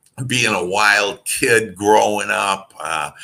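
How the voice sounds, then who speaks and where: Very slowly, a man with a Wisconsin accent speaks in a bright, sharp tone at a fairly low pitch. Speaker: motivational speaker and author. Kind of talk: podcast interview. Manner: halting, many fillers.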